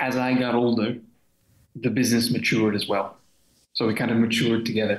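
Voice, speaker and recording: A man's mid-range voice is heard with audible echo from the room. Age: 30s. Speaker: translation company partner. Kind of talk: casual interview. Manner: hesitant, many fillers. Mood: relaxed, reflective. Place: home room. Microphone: webcam.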